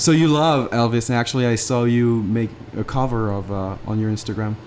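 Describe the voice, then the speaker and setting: Someone with a French accent talks at a fairly quick pace with ordinary pitch variation over noticeable background noise. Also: man, medium pitch for a man. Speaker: podcast host. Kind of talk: casual conversational interview.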